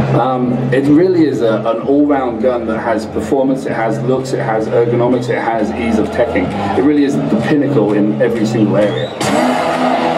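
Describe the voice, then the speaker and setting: A man talks with hardly any pauses. Loud background noise fills the recording. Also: moderate pace. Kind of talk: interview answer. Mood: enthusiastic product praise.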